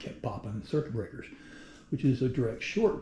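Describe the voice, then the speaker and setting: A man talks in a somewhat breathy, medium-pitched voice with a dark, mellow tone. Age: 60s. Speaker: product reviewer, retiree. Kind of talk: casual video review. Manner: casual, halting with fillers.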